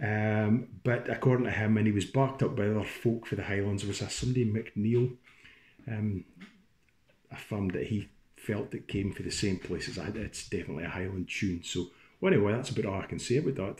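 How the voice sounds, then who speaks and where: Over light background noise, a man with a fairly low, somewhat breathy voice talks at a fairly quick pace with ordinary pitch variation. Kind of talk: casual talk introducing a tune. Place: home room. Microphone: phone near.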